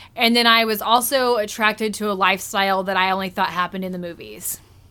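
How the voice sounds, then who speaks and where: A plain, everyday voice moves at a fairly quick pace with fairly even intonation in a very clean recording with a silent background. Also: woman. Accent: American. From Springfield, US Midwest. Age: 30s. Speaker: person in addiction recovery. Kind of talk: interview.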